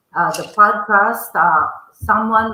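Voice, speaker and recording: Medium in pitch and bright, sharp in tone, a woman speaks with a strong Filipino accent. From Philippines. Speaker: author and podcast host. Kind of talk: interview.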